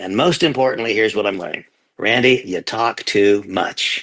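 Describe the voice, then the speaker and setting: Fairly low in pitch, this man has an ordinary speaking voice and talks at a moderate pace with ordinary pitch variation. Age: 60s. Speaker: company leader giving testimonial. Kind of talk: testimony.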